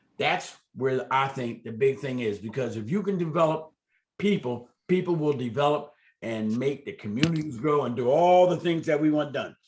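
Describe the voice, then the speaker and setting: A man's plain, everyday voice, fairly high in pitch, with lively intonation. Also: moderate pace. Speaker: community development organization leader. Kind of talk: community meeting update.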